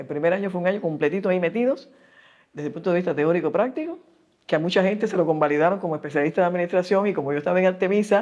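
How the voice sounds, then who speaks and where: A woman with a fairly low pitch talks at a very fast pace with lively intonation. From Cuba. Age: 80s+. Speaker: epidemiologist. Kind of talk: interview answer.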